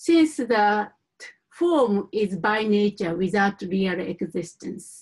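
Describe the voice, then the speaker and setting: A woman's somewhat breathy, medium-pitched voice with lively intonation at a very slow pace, in a quiet background. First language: not English. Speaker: Buddhist teacher. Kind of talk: teaching. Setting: live teaching to a group. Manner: halting, hesitant with fillers. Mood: calm, gentle. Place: home room. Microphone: webcam.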